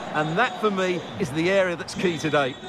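A high-pitched man talks fairly quickly with ordinary pitch variation while noticeable background noise plays behind him. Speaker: football co-commentator and former professional midfielder. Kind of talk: analytical colour commentary on match action and replays. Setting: commentary booth. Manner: measured and analytical, often opening with 'Well'.

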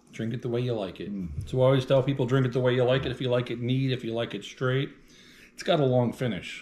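A man speaks with ordinary pitch variation. His voice is somewhat breathy. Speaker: bourbon tasting host. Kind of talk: casual tasting chat. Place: kitchen. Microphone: camera far.

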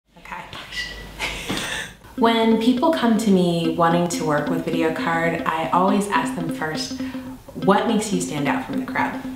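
A woman at a fairly slow pace, with long, frequent pauses, noticeable background noise and audible room echo. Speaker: video production business owner. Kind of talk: promotional pitch to camera. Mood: warm, upbeat. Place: studio.

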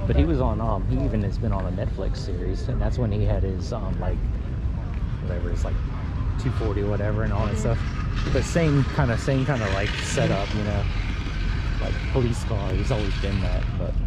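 A man talks at a fairly quick pace with a dry sound and no echo. Loud background noise is present. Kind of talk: casual vlog chat. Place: street. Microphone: phone near.

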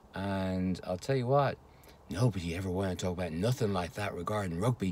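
In a Dublin accent, a man speaks at a very deep, low pitch with ordinary variation. The sound is dry with no echo, with light background noise. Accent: Irish (Dublin). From Ireland, Dublin. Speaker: vlogger. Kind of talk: casual monologue. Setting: home recording. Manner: hesitant, many fillers. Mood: wry, dismissive about rugby. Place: car. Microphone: phone near.

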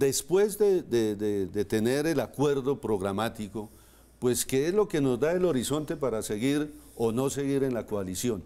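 A man's dark, mellow tone, very wide pitch swings and a fairly slow pace. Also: medium pitch for a man. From Colombia, Boyacá (Moniquirá); Boyacá, Colombia. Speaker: politician, mayoral candidate; politician, candidate. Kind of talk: TV interview. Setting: studio. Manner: halting, repeats words. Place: studio. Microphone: lapel.

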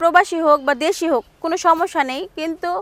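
A bright, sharp tone with fairly even intonation. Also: woman. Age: 20s. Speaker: interviewee seeking marriage. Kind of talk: interview.

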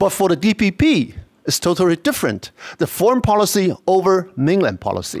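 A high-pitched man with a Chinese accent and lively intonation, in a dry, close sound with no echo and a very clean recording over a silent background. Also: moderate pace. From Taiwan. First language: Mandarin Chinese. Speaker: university professor, conference speaker. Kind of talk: academic lecture. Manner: halting.

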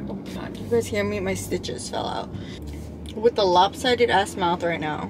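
Noticeable noise runs in the background. Over it, a woman speaks. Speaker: vlogger. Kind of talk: casual vlog chat. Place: car. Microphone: phone near.

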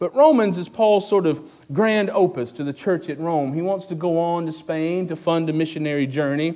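A man's dark, mellow tone at a moderate pace. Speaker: pastor. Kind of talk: sermon. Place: church. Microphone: podium.

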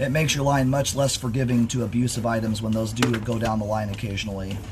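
In a room with audible echo and noticeable background noise, a man speaks very fast at medium pitch with fairly even intonation. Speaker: sewer inspection technician. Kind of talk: narrated inspection video. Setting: on site at a house, outdoors.

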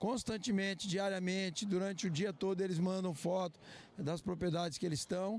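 A man speaks at a moderate pace with a high pitch and fairly even intonation. The sound is dry with no echo, and the loudness stays very even. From Brazil. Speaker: farmer. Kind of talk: news interview. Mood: calm, earnest. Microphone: handheld.

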